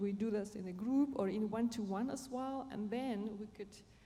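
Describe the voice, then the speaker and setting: A woman at a fairly high pitch with ordinary pitch variation and a moderate pace, amid audible room echo. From Germany. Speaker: panelist, positive leadership trainer. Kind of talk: panel discussion. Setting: conference stage with audience. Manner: halting.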